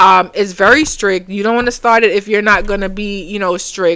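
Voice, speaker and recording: A woman speaks with a Caribbean accent. Her intonation stays fairly even. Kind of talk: casual tutorial. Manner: halting, many fillers.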